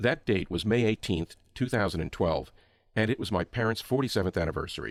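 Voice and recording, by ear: The words are read aloud in a natural voice.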